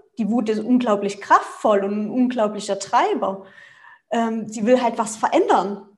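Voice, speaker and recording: A woman's somewhat breathy voice carries audible room echo. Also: fairly high pitch for a woman, ordinary pitch variation, fairly slow pace. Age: 30s. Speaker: family coach and nonviolent communication trainer. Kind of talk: casual interview.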